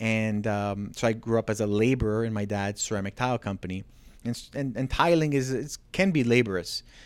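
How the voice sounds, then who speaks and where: Fairly quick in pace, a man with a medium pitch and a plain, everyday voice is heard on a very clean recording with a silent background. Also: ordinary pitch variation. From Ontario, Canada (Markham). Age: 40s. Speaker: realtor and business owner. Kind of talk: casual interview. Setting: studio, on a couch on camera.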